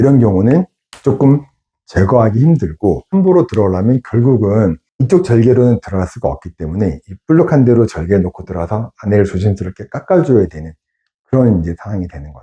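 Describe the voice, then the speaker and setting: Somewhat breathy and dark, mellow in tone, a man with a fairly low pitch swings very widely in pitch, the sound dry and close with no echo. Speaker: surgeon. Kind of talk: medical explainer video. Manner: conversational, explanatory.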